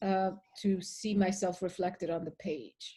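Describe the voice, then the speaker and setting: A woman's medium-pitched, dark, mellow voice with a Spanish accent, somewhat breathy, very slow and in a flat monotone. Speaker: poet. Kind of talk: interview. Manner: halting.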